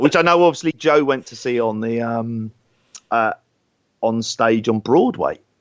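With an English accent, a man speaks at medium pitch and a fairly slow pace, with ordinary pitch variation, big swings in loudness and long, frequent pauses, in dry, close sound with no echo. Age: 40s. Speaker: wrestling podcast co-host. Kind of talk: casual chat.

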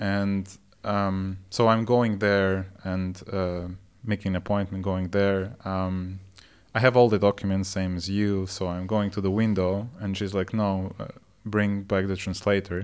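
Against a silent background in a very clean recording, a man speaks at a fairly low pitch and a fairly slow pace with monotone, flat intonation. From Russia. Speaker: podcast co-host. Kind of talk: casual chat.

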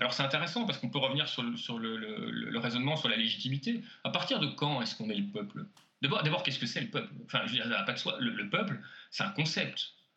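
This man speaks very fast, his fairly high pitch swinging very widely. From French-speaking Belgium. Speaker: sociologist and author. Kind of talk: interview. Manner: halting with many repetitions.

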